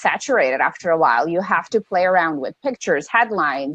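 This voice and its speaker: A woman is speaking. She keeps a fairly quick pace. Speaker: online business coach. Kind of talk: casual chat. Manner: fast.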